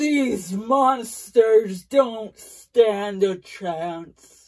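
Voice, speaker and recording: The speaker puts on a character voice with ordinary pitch variation. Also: woman, fairly high pitch for a woman. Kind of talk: improvised character story. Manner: pleading, then defiant.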